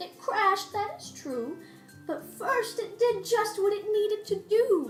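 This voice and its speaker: A woman puts on a character voice at an extremely high pitch, speaking at a fairly slow pace. Clear music plays in the background. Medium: read story. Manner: warm, encouraging.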